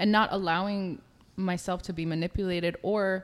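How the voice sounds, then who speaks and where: A woman's medium-pitched voice with an American accent, moderate pace and fairly even intonation. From Israel, then New York from about age eight. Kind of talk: casual chat.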